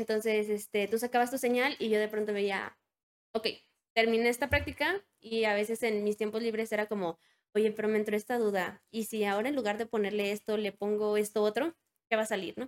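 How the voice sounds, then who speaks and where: A woman with an unremarkable speaking voice talks at a fairly quick pace and fairly high pitch. Her intonation is fairly even, and the sound is dry and close with no echo. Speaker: biomedical electronics engineer. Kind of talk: interview.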